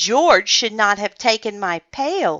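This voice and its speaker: In a put-on character voice, a female-sounding voice growls at a fairly high pitch and a fairly slow pace. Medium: read story.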